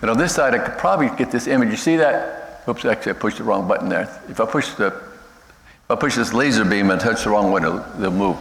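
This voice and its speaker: With an American accent, a man speaks at a very fast pace with hardly any pauses. Background noise is noticeable. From United States. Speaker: missionary. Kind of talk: missionary presentation. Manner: fast when excited; halting, many fillers and restarts.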